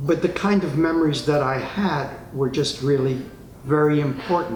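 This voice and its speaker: With an American accent, a man talks at a moderate pace and a fairly high pitch with fairly even intonation, amid noticeable background noise and audible room echo. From New York City, Spanish Harlem. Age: 80s+. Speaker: retired psychotherapist. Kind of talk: interview testimony.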